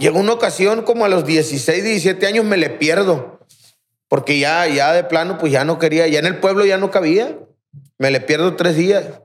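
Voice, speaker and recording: This man's voice sits high in pitch, with ordinary pitch variation, a moderate pace and very even loudness. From Aguaruto, Culiacán, Sinaloa, Mexico. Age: 30s. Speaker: rehab center director, recovering addict. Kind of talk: testimony.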